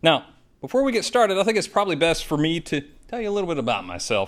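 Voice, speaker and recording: On a very clean recording with a silent background, a man speaks with a slight Southern accent. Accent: slight southern twang. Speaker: IT trainer and presenter. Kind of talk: presentation. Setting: studio with live audience.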